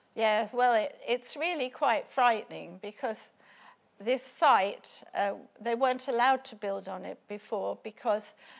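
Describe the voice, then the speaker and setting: Her loudness swings widely as a woman with a fairly high pitch and vocal fry talks at a fairly slow pace. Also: ordinary pitch variation. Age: 70s. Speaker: local campaigner. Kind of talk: interview. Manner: halting. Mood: worried, earnest. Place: studio. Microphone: lapel.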